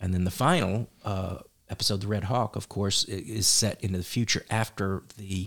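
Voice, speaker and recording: A somewhat breathy man at fairly low pitch, moderate pace and fairly even intonation, on a very clean recording with a silent background. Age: 40s. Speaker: writer and actor. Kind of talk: casual interview. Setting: studio.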